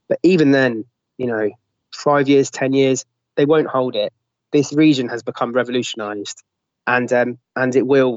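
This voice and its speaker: In a London accent, a man of medium pitch speaks at a fairly quick pace with fairly even intonation and long, frequent pauses. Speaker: newspaper editor and former volunteer fighter. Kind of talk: interview.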